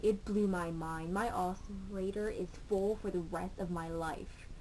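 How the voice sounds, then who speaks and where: Her tone is dark and mellow. The woman keeps a moderate pace with hardly any pauses. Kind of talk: casual vlog talk to camera. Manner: babbling, stuttering.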